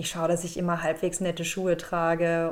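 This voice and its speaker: Talking at a very fast pace, a woman speaks in a fairly low pitch. Noticeable background noise runs underneath. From Germany, Aachen area. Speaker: comedian and actress. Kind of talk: interview.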